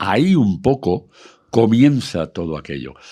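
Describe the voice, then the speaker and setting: Very slowly and with lively intonation, a man speaks on a very clean recording against a silent background. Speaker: radio broadcaster and country music expert. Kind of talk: casual talk, explaining history of country music.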